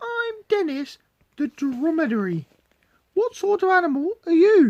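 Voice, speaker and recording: A squeaky, put-on character voice sits at an extremely high pitch. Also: moderate pace. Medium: read story.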